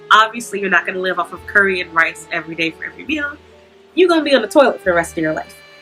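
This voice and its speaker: Music plays in the background. The voice makes very wide pitch swings. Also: woman. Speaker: student and worker in Japan. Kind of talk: advice vlog talk to camera. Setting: noisy, distorted recording. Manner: casual.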